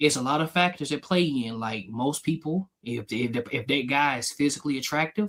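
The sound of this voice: A man speaks at a medium pitch with a fairly bright tone. His pace is moderate and his pitch variation ordinary.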